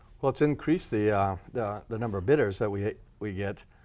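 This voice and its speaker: Speaking at a moderate pace, the man has a fairly low pitch. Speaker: storage unit auctioneer. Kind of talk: interview answer. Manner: hesitant, casual.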